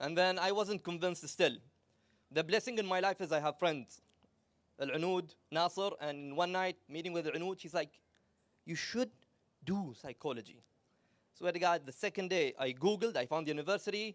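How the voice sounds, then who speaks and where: Loud and high-pitched, a man speaks with long, frequent pauses. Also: ordinary pitch variation, moderate pace. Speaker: psychology speaker. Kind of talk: talk to live audience. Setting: stage with audience. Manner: animated.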